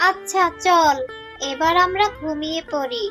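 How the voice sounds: Cartoonish character voice, bright and sharp in tone, at a fairly slow pace with ordinary pitch variation and faint music in the background.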